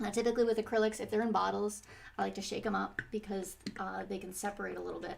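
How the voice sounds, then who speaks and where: Amid noticeable background noise, a soft-spoken woman talks. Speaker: painting teacher. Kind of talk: tutorial. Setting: live stream at home. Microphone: quiet, volume turned up high.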